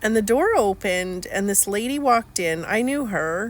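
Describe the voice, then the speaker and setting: A woman's fairly high voice, lively in intonation, at a fairly slow pace. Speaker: life coach vlogger. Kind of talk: personal testimony vlog. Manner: halting, with fillers.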